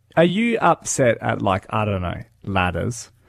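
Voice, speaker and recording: A man with an Australian accent speaks fairly slowly at a medium pitch. The recording is very clean, with a silent background. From Darwin, Australia. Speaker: radio host. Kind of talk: breakfast radio banter.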